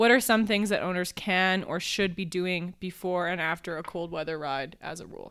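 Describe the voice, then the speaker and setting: An unremarkable speaking voice with fairly even intonation and big swings in loudness, moderate in pace with hardly any pauses, in a very clean recording with a silent background. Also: woman, medium pitch for a woman. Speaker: podcast host. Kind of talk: casual chat.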